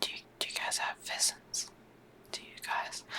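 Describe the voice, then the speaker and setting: Whispering with an Australian accent over noticeable background noise. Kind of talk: ASMR whispered gaming commentary. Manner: whispered; soft-spoken, rambling.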